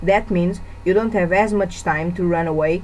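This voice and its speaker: A woman with a Portuguese accent talks at medium pitch and a moderate pace. Her intonation is fairly even, with noticeable background noise behind her. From Portugal. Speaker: gamer. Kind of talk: game review voice-over.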